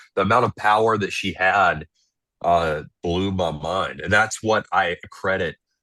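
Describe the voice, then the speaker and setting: Against a quiet background, a man with a very deep, low pitch and a bright, sharp tone speaks fairly slowly with fairly even intonation, the sound dry and close with no echo. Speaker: reality show contestant. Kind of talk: interview.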